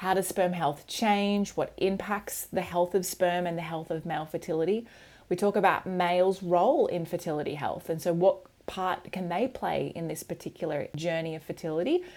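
With an Australian accent, a woman speaks at a fairly low pitch on a very clean recording with a silent background. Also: fairly even intonation, moderate pace. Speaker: podcast host and women's cycle health educator. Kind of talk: scripted intro and casual interview chat.

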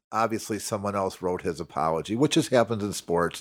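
Talking at a fairly quick pace, a man has a plain, everyday voice with a fairly low pitch and ordinary pitch variation. He speaks with an American accent on a very clean recording with a silent background. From Chicago. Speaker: political party official. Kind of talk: casual chat.

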